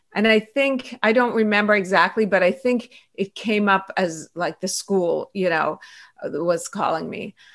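A woman with an Iranian accent talks at medium pitch with ordinary pitch variation. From Iran and Pittsburgh, US. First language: Farsi. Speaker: author, pediatrician and activist. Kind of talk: interview conversation.

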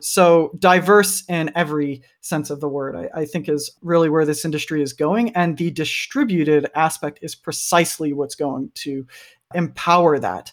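In a very clean recording with a silent background, a man speaks at a moderate pace in a plain, everyday voice, fairly high-pitched with ordinary pitch variation. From US, Kentucky. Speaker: product designer. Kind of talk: interview.

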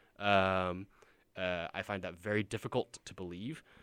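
A man speaks in a bright, sharp tone, recorded very cleanly against a silent background. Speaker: wrestling podcast co-host. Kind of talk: casual chat. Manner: hesitant, filler-heavy.

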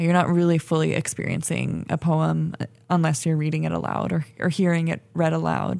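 A woman with a normal speaking voice and an American accent, fairly low in pitch, moderate in pace, with ordinary pitch variation. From California, Bay Area. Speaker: graduate student and fiction writer. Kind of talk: interview conversation. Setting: radio studio.

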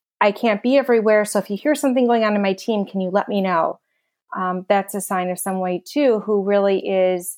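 A woman with an ordinary speaking voice, medium pitch, ordinary pitch variation and a fairly quick pace on a very clean recording with a silent background. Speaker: podcast co-host and HR consultant. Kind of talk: interview.

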